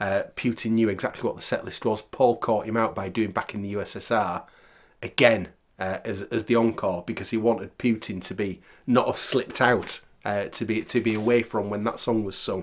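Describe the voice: Fairly even intonation marks this man's speech at a fairly low pitch. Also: moderate pace.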